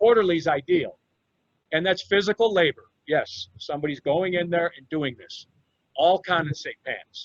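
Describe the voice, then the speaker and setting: Pitched high, a man speaks at a moderate pace with big swings in loudness, in a dry, close sound with no echo. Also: ordinary pitch variation. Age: 60s. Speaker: HVAC engineering executive and presenter. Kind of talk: educational presentation. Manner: emphatic, repetitive.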